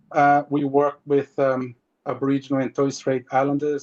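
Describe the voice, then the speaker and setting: A moderate pace and monotone, flat intonation in a Portuguese accent, with a dry, close sound and no echo. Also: man. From Brazil. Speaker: marine scientist. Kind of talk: webinar presentation. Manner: halting.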